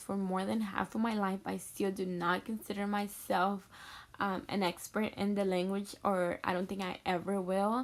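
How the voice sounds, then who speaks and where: A woman with a Mexican accent, medium in pitch, at a moderate pace. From Mexico City, then Texas (Houston). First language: Spanish. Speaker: education student, future teacher. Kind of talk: personal introduction video. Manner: hesitant, many fillers.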